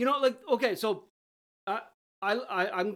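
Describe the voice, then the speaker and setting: The speaker is a woman. Her intonation is lively. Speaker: podcast co-host. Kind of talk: casual chat.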